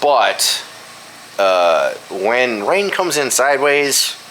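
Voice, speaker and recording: A man's pitch swings very widely while noticeable background noise continues behind him. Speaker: vlogger. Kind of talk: casual chat. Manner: halting, many fillers.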